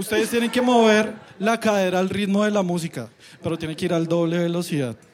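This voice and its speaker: With noticeable background noise in the mix, a man's fairly quick speech shows ordinary pitch variation. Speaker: podcast host. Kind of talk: live show hosting. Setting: stage with audience.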